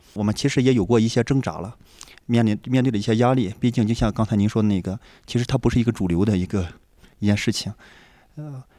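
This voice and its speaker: On a very clean recording with a silent background, a man with a dark, mellow tone talks very fast with fairly even intonation and long, frequent pauses. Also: medium pitch for a man. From rural northern China. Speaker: homeschooling parent, programmer. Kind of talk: casual chat. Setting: lodging in a village while traveling.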